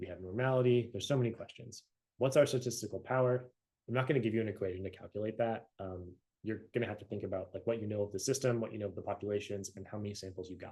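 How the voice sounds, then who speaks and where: A man with a fairly low pitch speaks at a very fast pace, his somewhat breathy voice dark and mellow in tone with fairly even intonation. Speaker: university lecturer. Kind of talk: recorded lecture. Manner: casual, conversational.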